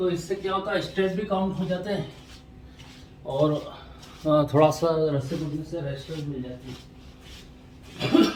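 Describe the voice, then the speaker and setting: Audible room echo and noticeable background noise accompany a man whose fairly high pitch shows ordinary variation. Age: 50s. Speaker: artist and vlogger. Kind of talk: casual vlog narration.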